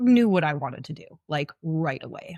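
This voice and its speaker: A woman with a plain, everyday voice speaks at a moderate pace in a fairly low pitch, recorded very cleanly with a silent background and a dry, close sound with no echo. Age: 30s. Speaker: welder and fitness coach sharing illness story. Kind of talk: podcast interview, personal story. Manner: casual, conversational.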